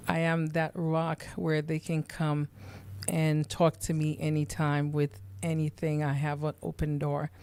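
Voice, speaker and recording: Her intonation fairly even, a woman talks with a very deep, low pitch. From Haiti. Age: 50s. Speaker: nurse and podcast host. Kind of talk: interview. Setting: studio.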